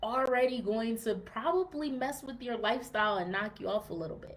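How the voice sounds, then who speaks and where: A plain, everyday voice from a woman at a moderate pace, with ordinary pitch variation. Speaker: fitness podcast host. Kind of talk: podcast monologue, live-streamed to group. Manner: casual, many fillers.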